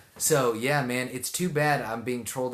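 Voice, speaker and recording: Against a quiet background, a man with a southeast Texas accent speaks at a fairly quick pace. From Texas, Houston area. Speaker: live streamer. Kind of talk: casual chat. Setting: live stream. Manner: animated.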